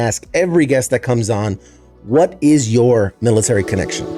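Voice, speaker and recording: Music plays in the background. A man talks with an American accent and lively intonation. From US East Coast. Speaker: podcast host, interviewer. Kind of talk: casual energetic interview hosting.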